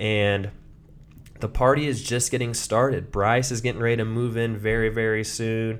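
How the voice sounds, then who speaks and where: With audible room echo, a man talks at a moderate pace in a medium pitch and a monotone, flat intonation. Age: 20s. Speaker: podcast host. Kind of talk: casual solo monologue.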